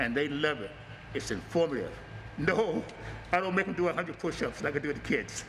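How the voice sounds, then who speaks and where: With lively intonation, a man speaks at a fairly quick pace in a fairly high pitch. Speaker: martial arts instructor. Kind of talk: promotional talk. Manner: loud.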